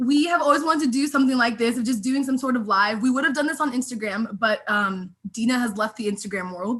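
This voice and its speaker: With an American accent, a woman talks at a high pitch, her voice swinging very widely. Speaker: YouTuber hosting a sisters' live stream. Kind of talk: casual chat. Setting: video call live stream. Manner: halting, stumbles over words.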